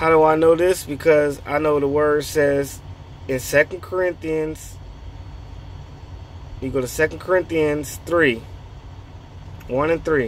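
A man speaks with ordinary pitch variation and long, frequent pauses, in a dry sound with no echo over light background noise. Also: fairly slow pace. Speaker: faith vlogger. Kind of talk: casual vlog chat, preaching. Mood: earnest, encouraging. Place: car. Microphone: phone near.

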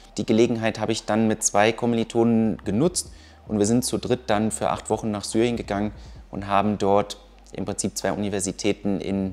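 The pitch varies in an ordinary way, and the pace is fairly quick. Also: man. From Düsseldorf, Germany; Germany. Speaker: engineer, university alumnus. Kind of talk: interview. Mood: relaxed, friendly. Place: workshop.

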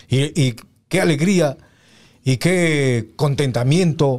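Here a man speaks with a dark, mellow tone and ordinary pitch variation. The background is quiet. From Peru. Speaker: radio announcer; guest, former radio announcer. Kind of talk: casual chat. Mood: nostalgic, warm. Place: studio. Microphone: studio mic.

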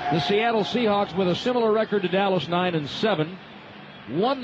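A man with a high pitch speaks at a moderate pace. His pitch variation is ordinary, and there is noticeable background noise. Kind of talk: live sports commentary.

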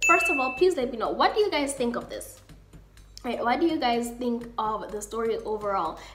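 Over light background noise, a woman with a South African accent speaks at a moderate pace, her high pitch swinging very widely. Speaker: YouTuber. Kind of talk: storytime, casual talk to camera. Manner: animated, expressive. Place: home room. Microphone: webcam.

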